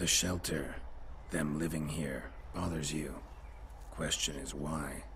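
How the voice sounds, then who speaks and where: A man in a put-on character voice, fairly slow, with long, frequent pauses over loud background noise. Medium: video game. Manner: curt, dry.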